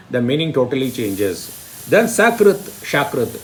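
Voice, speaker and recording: A man speaks at a fairly slow pace, his pitch swinging very widely. Noticeable background noise and audible room echo fill the recording. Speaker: Sanskrit teacher. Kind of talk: lecture.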